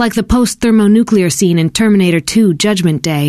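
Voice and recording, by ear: The voice reads aloud naturally. Its pitch shifts in an ordinary way.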